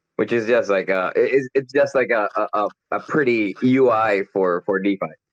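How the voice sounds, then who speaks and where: A man speaks at a moderate pace with a Spanish accent. The sound is dry and close, with no echo. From Colombia. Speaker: crypto community member. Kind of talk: casual chat. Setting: online audio chat room.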